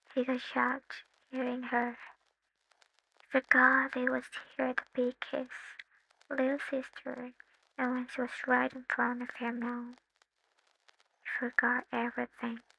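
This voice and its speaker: A woman speaks in a high pitch with monotone, flat intonation, long, frequent pauses, and a dry, close sound with no echo. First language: not English. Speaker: fanfiction voice-over narrator. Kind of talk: read romance fanfiction story.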